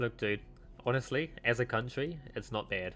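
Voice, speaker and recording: Music plays in the background as a man speaks at medium pitch with ordinary pitch variation. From mixed: South Africa, Wales, New Zealand. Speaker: vtuber streamer. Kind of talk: casual chat. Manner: halting, many fillers.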